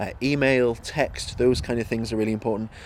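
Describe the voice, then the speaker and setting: A man with an ordinary speaking voice talks at a moderate pace and medium pitch. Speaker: mental health charity worker. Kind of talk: interview answer.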